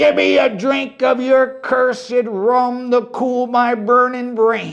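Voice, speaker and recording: A put-on character voice, raised and projected with a growl and a fairly high pitch, moves at a fairly slow pace with hardly any pauses. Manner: snarling.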